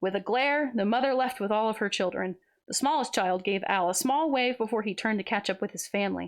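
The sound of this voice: Reading voice, unforced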